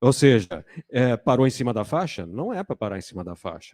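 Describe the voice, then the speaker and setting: On a very clean recording with a silent background and a dry, close sound with no echo, a man speaks at medium pitch in a dark, mellow tone. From Brazil, São Paulo city. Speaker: panel moderator. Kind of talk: panel discussion.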